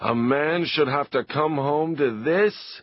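Using a put-on character voice, a man speaks at a fairly slow pace with fairly high pitch and ordinary pitch variation. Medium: read story. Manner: scowling, irritable, shouting.

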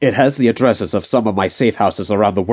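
A reading voice, unforced

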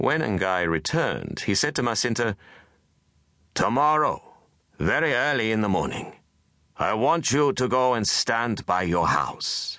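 A man speaks in a solemn yet bright, sharp tone, at a fairly slow pace with long, frequent pauses and lively intonation. His loudness stays very even against a quiet background. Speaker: audiobook narrator.

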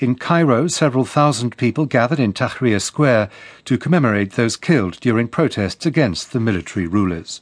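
A man with a British accent talks at a fairly quick pace in very even loudness, the sound dry and close with no echo over a quiet background. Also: medium pitch for a man, lively intonation. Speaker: news presenter. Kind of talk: crisp international radio news bulletin reading. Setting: studio. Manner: measured, neutral and authoritative newsreader delivery; formal, clipped headline phrasing with brisk hand-offs to reporters.

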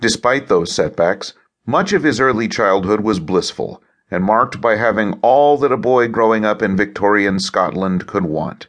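A man speaks at a moderate pace and medium pitch with ordinary pitch variation in an ordinary speaking voice. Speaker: audiobook narrator. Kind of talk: audiobook narration of a history biography. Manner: measured, formal, even documentary delivery; steady, clear and authoritative.

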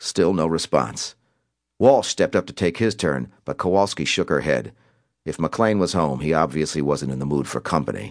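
A man's very deep, low voice with vocal fry and lively intonation, at a moderate pace over a quiet background. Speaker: audiobook narrator. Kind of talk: dramatic audiobook narration of a thriller novel, voicing characters in dialogue.

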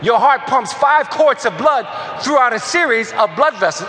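Over noticeable background noise, a man speaks at a moderate pace in an animated tone with a raised, projected voice. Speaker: motivational speaker. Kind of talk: audiobook-style motivational lecture. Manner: animated, emphatic, driving repetition; faith-infused, preacherly cadence.

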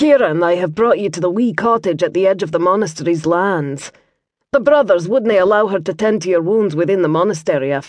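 The reader uses a natural voice, with a quiet background behind.

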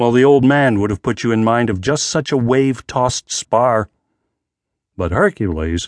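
Lively intonation marks a man's medium-pitched voice at a moderate pace. The sound is dry and close with no echo, over a quiet background. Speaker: audiobook narrator. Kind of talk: audiobook narration of a classic story, read aloud. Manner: animated storyteller, expressive, playful asides to the listener.

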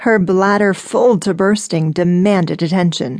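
A woman with an ordinary speaking voice, medium pitch and a fairly slow pace. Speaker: audiobook narrator. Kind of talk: dramatic audiobook narration, scripted romance fiction read aloud. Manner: expressive, vivid storytelling with shifts into character voices for quoted lines.

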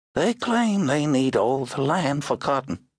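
A man puts on a character voice, fairly high in pitch, with very wide pitch swings. He talks at a fairly slow pace.

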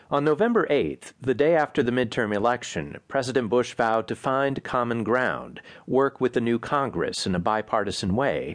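Vocal fry marks a man's medium-pitched voice at a moderate pace. The background is quiet. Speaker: audiobook narrator. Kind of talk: formal news-magazine reading, polished and measured, with dry irony on political lines. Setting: studio. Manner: formal.

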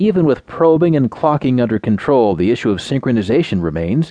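Dry and close with no echo, this man's voice has a dark, mellow tone over a quiet background. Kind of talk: audiobook nonfiction reading, scripted science article narration. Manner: formal, measured, even-paced; clear, didactic, steady delivery of technical terms.

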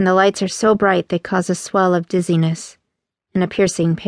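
Unforced reading, fairly even in intonation, set against a quiet background

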